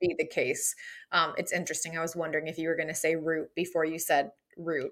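Speaking at a very fast pace, a woman has a fairly low pitch and monotone, flat intonation. The recording is very clean with a silent background. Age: 30s. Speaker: podcast host. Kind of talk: casual interview chat.

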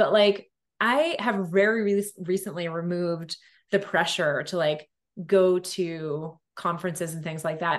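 A woman with a normal speaking voice and a medium pitch talks in a fairly even intonation. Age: 40s. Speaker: entrepreneur. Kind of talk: casual chat.

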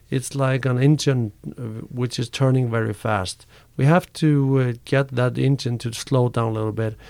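A man with an Icelandic accent, medium in pitch, at a moderate pace with fairly even intonation, in a very clean recording with a silent background. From Iceland, Reykjavik. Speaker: karate coach and personal trainer. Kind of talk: interview. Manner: halting.

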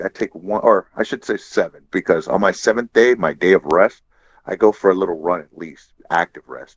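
A man in a normal speaking voice talks at a moderate pace with a fairly low pitch. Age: 40s. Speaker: jiu-jitsu purple belt. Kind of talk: casual chat.

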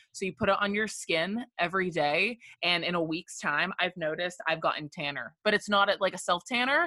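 A woman's unremarkable speaking voice at a medium pitch, fairly quick, with hardly any pauses. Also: ordinary pitch variation. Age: 20s. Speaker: graduate student and podcaster. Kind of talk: casual chat.

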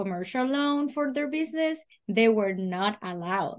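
Against a quiet background, someone speaks at a moderate pace in a Spanish accent. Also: woman. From Puerto Rico. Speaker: freight business owner. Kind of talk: interview. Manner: halting.

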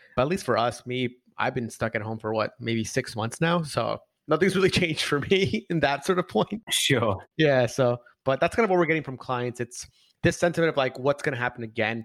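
With a dry, close sound, no echo and a silent background in a very clean recording, a man at medium pitch talks fairly quickly with lively intonation. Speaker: marketing agency expert. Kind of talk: casual interview chat. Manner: fast talker.

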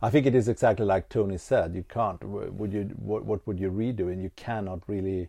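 A man with a Swedish accent speaks at a fairly low pitch. His tone is dark and mellow, and his intonation stays fairly even. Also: quiet background. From Sweden. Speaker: podcast host. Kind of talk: casual chat. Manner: soft-spoken.

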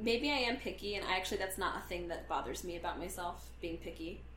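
Noticeable background noise runs under this recording. A woman speaks at a moderate pace. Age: 20s. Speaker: podcast co-host. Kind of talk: casual chat. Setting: living room couch.

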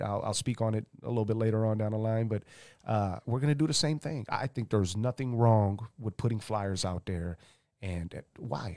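In a very clean recording with a silent background, a plain, everyday voice speaks at a fairly quick pace with ordinary pitch variation. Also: man. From St. Louis, Missouri (moved from Romania at age 6). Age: 30s. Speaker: hip-hop artist. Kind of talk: casual interview. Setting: live stream.

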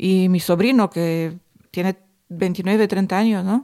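A woman speaks very slowly at a medium pitch with a dark, mellow tone and a Romanian accent, on a very clean recording with a silent background. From southern Romania, near Craiova. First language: Romanian (speaking Spanish). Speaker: podcast co-host, cleaning and catering worker. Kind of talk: casual chat.

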